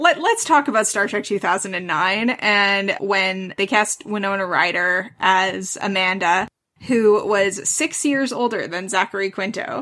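Hardly pausing, a woman with an ordinary speaking voice talks at a medium pitch with ordinary pitch variation. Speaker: podcast co-host. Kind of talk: casual chat.

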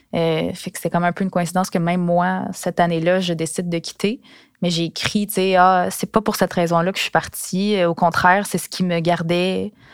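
With a Quebec accent, a woman talks in a fairly low, monotone, flat voice, the sound dry and close with no echo. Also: moderate pace, very clean recording, silent background. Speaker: former sports journalist. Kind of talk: personal storytelling. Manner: casual, with hesitations.

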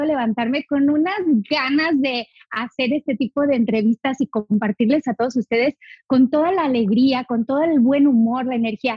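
Cheerful in tone, a woman speaks at a moderate pace with a high pitch and ordinary pitch variation. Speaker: essential oils educator. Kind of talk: interview. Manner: cheerful, smiling.

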